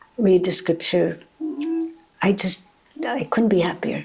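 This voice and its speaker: A woman's voice with vocal fry. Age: 80s+. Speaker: author and spiritual teacher. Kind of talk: interview.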